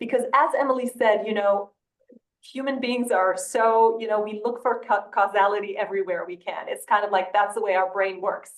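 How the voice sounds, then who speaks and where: A woman talks at a fairly quick pace with a non-native accent. Her pitch sits fairly high. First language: not English. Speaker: study co-author, sleep researcher. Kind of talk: webinar panel discussion. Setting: online webinar. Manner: halting, many repetitions and fillers.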